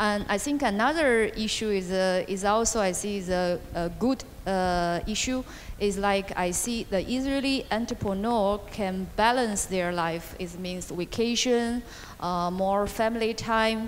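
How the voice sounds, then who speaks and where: Someone with a Chinese accent speaks at a fairly slow pace, the pitch varying in an ordinary way. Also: woman, medium pitch for a woman. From China. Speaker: venture capital investor. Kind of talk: panel interview. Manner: halting.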